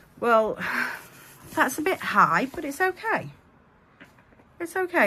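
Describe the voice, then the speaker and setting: In an English Midlands accent, a woman speaks fairly slowly in a raised, projected voice with very wide pitch swings. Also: long, frequent pauses. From Chesterfield, Derbyshire, England.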